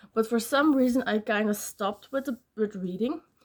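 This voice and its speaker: A woman's fairly high voice with a non-native accent, at a moderate pace. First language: not English. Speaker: book vlogger. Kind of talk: casual vlog talk. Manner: hesitant, many fillers.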